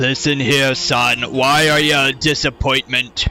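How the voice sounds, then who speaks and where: Over clear background noise, a put-on character voice speaks at a fairly slow pace in a monotone, flat intonation. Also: man, medium pitch for a man. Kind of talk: dad voice. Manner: stern, scolding.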